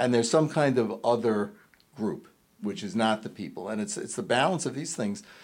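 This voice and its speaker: A man speaks in a plain, everyday voice with an American accent, at a moderate pace and medium pitch, his intonation lively. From New York City (Queens). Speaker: film critic. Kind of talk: casual chat.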